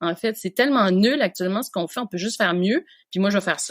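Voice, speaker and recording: A woman speaks at a very fast pace. The sound is dry and close, with no echo. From Quebec, Canada. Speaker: veterinarian. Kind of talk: podcast interview answer.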